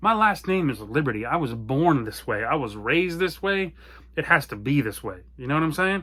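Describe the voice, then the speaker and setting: Loud and animated, a man talks at a fairly quick pace in a bright, sharp tone with a fairly high pitch and very wide pitch swings. The recording is very clean with a silent background. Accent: American. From US small town. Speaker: apparel brand owner. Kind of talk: personal story monologue. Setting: home basement office.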